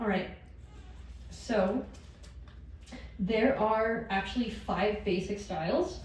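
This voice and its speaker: Audible room echo on a woman speaking at medium pitch. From northern New Mexico, Chimayó. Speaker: master weaver. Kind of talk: lecture.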